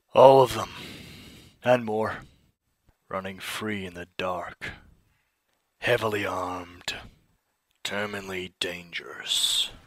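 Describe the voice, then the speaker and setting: Using a put-on character voice, a man speaks in a raspy, fairly low tone at a fairly slow pace with long, frequent pauses. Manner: stern, commanding.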